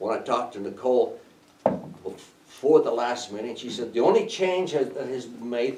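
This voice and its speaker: Audible room echo surrounds a man's voice. Noticeable background noise is also present. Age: 70s. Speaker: landowner addressing county commissioners. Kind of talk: public comment at county meeting.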